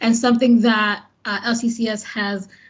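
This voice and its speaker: The woman's voice is somewhat breathy. It sits fairly high in pitch. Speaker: first grade teacher. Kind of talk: interview conversation.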